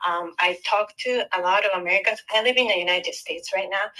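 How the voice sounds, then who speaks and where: Here a woman speaks with a Japanese accent and a bright, sharp tone. Her intonation stays fairly even. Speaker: caller. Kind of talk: call-in question. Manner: halting, hesitant.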